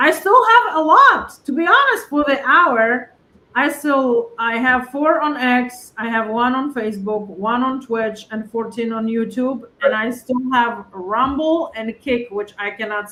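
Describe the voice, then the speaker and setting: Speaking at a fairly slow pace with hardly any pauses, a woman with a Polish accent has a high pitch and ordinary pitch variation. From Poland. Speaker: political livestream host. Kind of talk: casual chat. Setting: livestream.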